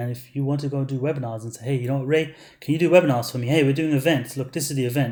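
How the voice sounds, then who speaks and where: A man talks at a very fast pace in a fairly high, somewhat breathy voice with a dark, mellow tone. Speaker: online marketer selling ad services. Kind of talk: webinar sales pitch. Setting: webinar. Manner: animated.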